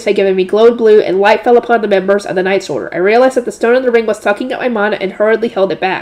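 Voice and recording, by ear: The passage is read aloud. It is delivered in a natural voice.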